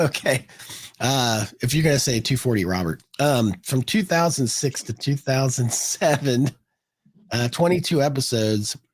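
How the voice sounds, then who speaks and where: Somewhat breathy, a man talks at a moderate pace and medium pitch with lively intonation. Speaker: podcast co-host. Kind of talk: casual chat. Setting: live stream.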